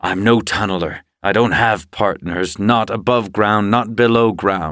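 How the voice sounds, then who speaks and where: A man puts on a character voice with a fairly low pitch. The recording is very clean, with a silent background. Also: moderate pace. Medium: read story. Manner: hard, defensive.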